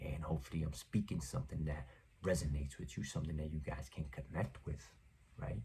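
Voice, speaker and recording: Speaking at a very fast pace, a man uses a very deep, low voice with vocal fry and ordinary pitch variation. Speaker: podcast host. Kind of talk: motivational monologue. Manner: quiet, not projecting.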